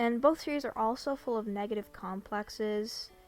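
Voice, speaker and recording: Music can be heard in the background. The speaking pace is moderate. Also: woman. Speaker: former fan and commentary creator. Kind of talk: video essay commentary.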